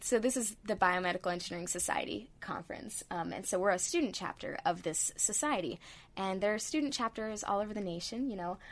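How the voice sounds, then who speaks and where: A woman speaks with an American accent at a fairly quick pace, with hardly any pauses. Her voice sits at a medium pitch and her intonation is lively. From Northern California. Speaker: biomedical engineering student. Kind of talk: interview.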